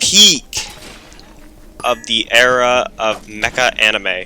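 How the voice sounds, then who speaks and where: There is noticeable background noise behind the speaker. A man talks at medium pitch. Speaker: gaming YouTuber. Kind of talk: gameplay commentary. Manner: loud; casual, rambling with fillers.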